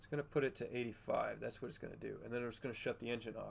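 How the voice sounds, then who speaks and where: The speaker is soft-spoken, with fairly even intonation. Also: man. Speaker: gaming streamer. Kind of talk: casual live stream chat with gameplay. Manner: quiet, soft-spoken.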